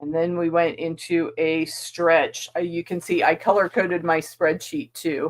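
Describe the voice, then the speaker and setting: At a fairly slow pace with hardly any pauses, a woman talks in a fairly low pitch with fairly even intonation. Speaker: quilting channel host. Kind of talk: casual sewing vlog chat. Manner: mumbling while working.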